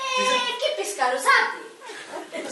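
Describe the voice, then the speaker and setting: A put-on character voice, squeaky and extremely high, at a very slow pace with a slight echo. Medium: stage play. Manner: blunt, greedy.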